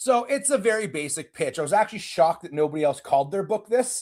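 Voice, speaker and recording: A high-pitched man's voice with a dark, mellow tone and very wide pitch swings, in a Canadian accent, on a very clean recording with a silent background. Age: 40s. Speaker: self-defense instructor. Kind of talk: interview conversation.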